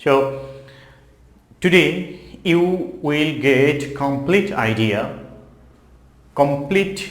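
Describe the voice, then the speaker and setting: A man speaks with a Bengali accent amid audible room echo. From Bangladesh. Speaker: English teacher. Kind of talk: tutorial.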